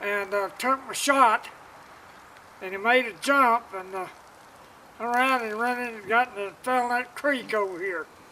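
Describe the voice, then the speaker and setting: With an Arkansas accent, a man projects a raised voice at an extremely high pitch. He keeps a moderate pace and fairly even intonation over noticeable background noise. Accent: US Southern (Arkansas). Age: 70s. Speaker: first-time deer hunter. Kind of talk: casual interview after hunt. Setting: outdoors. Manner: halting, many fillers.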